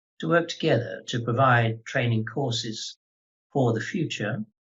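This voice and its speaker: A man speaks in an English accent at a medium pitch. His pace is fairly slow. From England. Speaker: lawyer and head of a legal training organisation. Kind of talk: webinar introduction.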